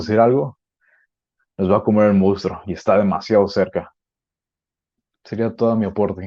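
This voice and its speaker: Fairly even intonation is heard against a quiet background. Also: man. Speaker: podcast guest. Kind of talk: panel discussion. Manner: fast.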